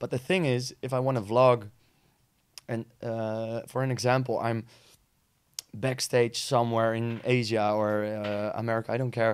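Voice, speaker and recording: At a moderate pace, a man with a Dutch accent and a medium pitch talks in a monotone, flat intonation, with long, frequent pauses. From Netherlands. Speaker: DJ and vlogger. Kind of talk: casual chat. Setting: studio. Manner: halting.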